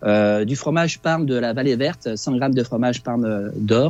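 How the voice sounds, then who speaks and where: At a moderate pace, a man speaks in a medium pitch with ordinary pitch variation and a dark, mellow tone. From France. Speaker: cooking presenter. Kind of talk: recipe explanation. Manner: hesitant, many fillers.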